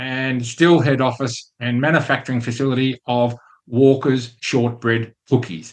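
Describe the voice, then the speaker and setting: The speaker is a man with an ordinary speaking voice. He has a medium pitch and a fairly slow pace. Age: 60s. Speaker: podcast host. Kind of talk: casual monologue with business lesson.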